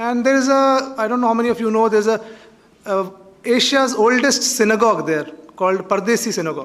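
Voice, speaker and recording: At a very fast pace, a man with a Kashmiri accent speaks at an extremely high pitch with ordinary pitch variation over noticeable background noise. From Kashmir, India. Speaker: author. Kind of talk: invited talk at college event. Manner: halting, many fillers.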